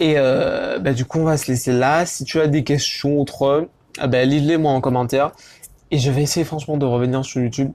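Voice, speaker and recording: A man's fairly high voice, fairly quick, with fairly even intonation and very even loudness. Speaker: YouTuber, fashion vlogger. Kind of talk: casual vlog. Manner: fast; hesitant, many fillers.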